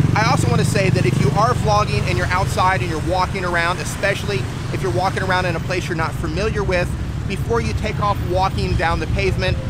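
Loud background noise accompanies a man talking at a very fast pace, the sound dry with no echo. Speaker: gear reviewer vlogger. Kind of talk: casual vlog chat. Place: street. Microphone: phone near.

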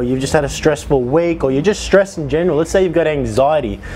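A man talks with ordinary pitch variation. There is light background noise. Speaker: fitness vlogger. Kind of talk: casual vlog chat. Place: home room. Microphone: lapel.

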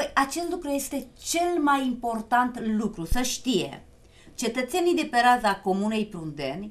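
Lively intonation at a fairly slow pace. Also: woman. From Romania. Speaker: TV talk show host. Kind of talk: live TV talk show. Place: studio.

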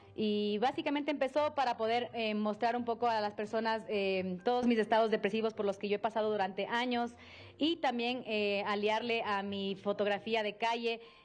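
The intonation of this woman stays fairly even. She talks at a moderate pace. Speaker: interviewee. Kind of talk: interview answer. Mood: reflective, personal. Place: hall. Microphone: handheld.

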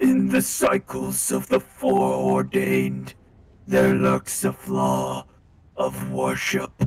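Very slow and raspy, a man's put-on character voice sits very deep and low, with monotone, flat intonation. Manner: solemn, ritualistic.

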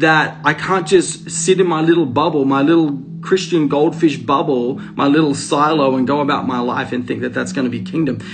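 With clear music in the background, a man speaks with hardly any pauses. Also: fairly even intonation, moderate pace. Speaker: preacher sharing a spiritual message. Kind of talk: sermon-like live stream talk. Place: home room. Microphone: phone near.

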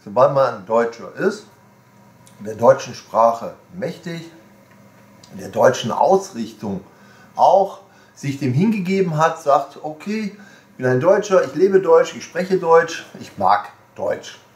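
A high-pitched man at a very slow pace, with long, frequent pauses, very wide pitch swings, big swings in loudness and audible room echo. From Germany. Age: 60s. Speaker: video blogger, shop owner; shop owner vlogger. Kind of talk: casual monologue. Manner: rambling, hesitant with fillers. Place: home room.

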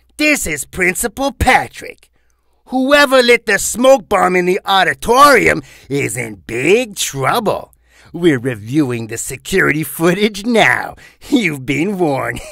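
Using a put-on character voice, a man speaks at a fairly slow pace in a high pitch with very wide pitch swings, on a very clean recording with a silent background. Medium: voice reel. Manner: stern, barking.

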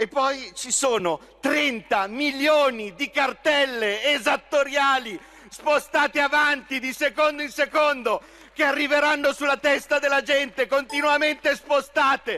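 An angry man raises and projects his voice at an extremely high pitch, speaking at a fairly slow pace. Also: ordinary pitch variation. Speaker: member of parliament. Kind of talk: parliamentary speech, accusatory and combative. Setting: parliament chamber. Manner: angry, sarcastic, vehement. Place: hall. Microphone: podium.

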